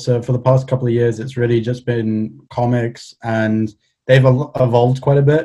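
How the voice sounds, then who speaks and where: A man with a Welsh accent speaks in a dark, mellow tone with fairly even intonation. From Wales, Cardiff. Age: 20s. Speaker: illustrator. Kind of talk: casual chat.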